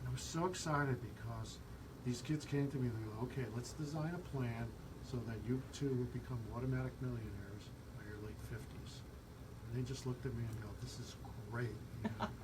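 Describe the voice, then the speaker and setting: There is audible room echo and noticeable background noise. A man speaks at a fairly quick pace. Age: 60s. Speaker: radio host. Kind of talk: radio talk show interview.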